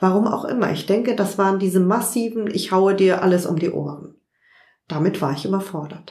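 A woman speaks at a medium pitch in a normal speaking voice. Her pitch varies in an ordinary way, and her pace is fairly quick. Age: 50s. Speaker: journalist and online magazine founder. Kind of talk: interview. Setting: at her home.

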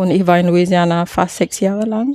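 With a Malaysian accent, a woman speaks in a dry, close sound with no echo. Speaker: landscape architect and caterer. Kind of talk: interview. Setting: outdoors in a garden. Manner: hesitant, frequent fillers.

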